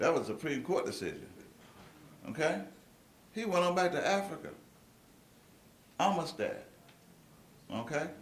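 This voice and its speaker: Intonation is lively, with long, frequent pauses at a moderate pace. Room echo is audible, and background noise is noticeable. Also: man, high pitch for a man. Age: 60s. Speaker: speaker at a meeting. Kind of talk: lecture to an audience. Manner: animated.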